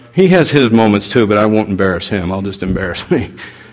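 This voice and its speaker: This man rattles off his words very fast, his pitch shifting in a normal way, while noticeable noise fills the background. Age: 50s. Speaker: pastor. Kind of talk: sermon. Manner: animated.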